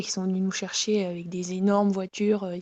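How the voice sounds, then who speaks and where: A woman of medium pitch speaks at a moderate pace in a dark, mellow tone with monotone, flat intonation. The sound is dry and close, with no echo. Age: 20s. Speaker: professional biathlete. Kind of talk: interview. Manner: hesitant, many fillers.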